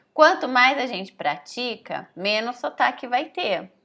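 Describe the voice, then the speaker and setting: The speaker's tone is bright and sharp, with lively intonation and a slight São Paulo accent. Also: woman. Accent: slight caipira (rural São Paulo). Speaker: language teacher. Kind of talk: online lesson. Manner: casual, conversational with many fillers.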